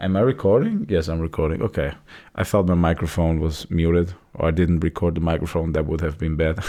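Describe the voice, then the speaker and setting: In a non-native accent, a man with a very deep, low pitch and a dark, mellow tone talks at a fairly quick pace with fairly even intonation. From Europe. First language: not English. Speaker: vlogger. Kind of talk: casual monologue. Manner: halting, many repeated words.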